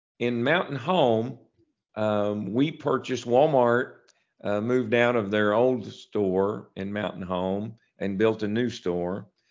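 A man with an Arkansas accent speaks very slowly at a fairly low pitch, his pitch varying in an ordinary way. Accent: Southern US (Arkansas). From US South, small town in northeast Arkansas. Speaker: grocery chain executive. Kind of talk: interview. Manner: halting, many repeated words and fillers.

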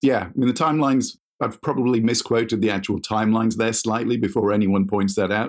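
A man with an unremarkable speaking voice talks at a fairly quick pace and medium pitch. His intonation is fairly even, and the recording is very clean with a silent background. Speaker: semi-retired sports industry executive and photographer. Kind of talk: coaching conversation.

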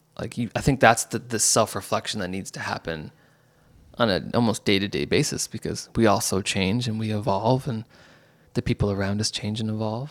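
A normal speaking voice from a man, fairly low in pitch with ordinary pitch variation, at a fairly quick pace, in a very clean recording with a silent background. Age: 30s. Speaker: communication facilitator and community builder. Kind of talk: casual chat.

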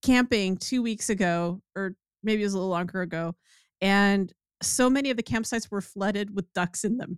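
Her voice is an unremarkable speaking voice at medium pitch, as a woman talks at a fairly quick pace with ordinary pitch variation in a dry, close sound with no echo on a very clean recording with a silent background. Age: 50s. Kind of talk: casual chat. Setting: livestream.

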